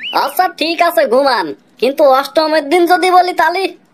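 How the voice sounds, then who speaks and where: A cartoonish character voice from a woman, pitched extremely high. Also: moderate pace, ordinary pitch variation. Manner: dry, sarcastic.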